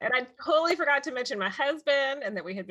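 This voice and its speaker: The speaker has a Texas accent and a fairly quick pace. The pitch swings very wide. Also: woman. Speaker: podcast host. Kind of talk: casual interview chat.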